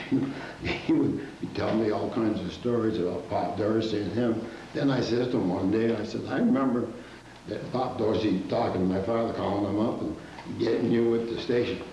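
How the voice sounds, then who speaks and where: Amid noticeable background noise and audible room echo, a man speaks at a medium pitch and moderate pace with fairly even intonation. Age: 80s+. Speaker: school alumnus interviewed by students. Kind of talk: oral history interview. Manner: halting, many fillers.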